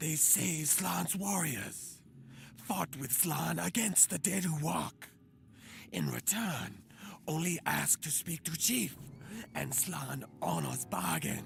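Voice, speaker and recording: A put-on character voice with a low-to-middle pitch moves at a fairly slow pace. Clear background noise sits behind it. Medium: video game. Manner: broken grammar.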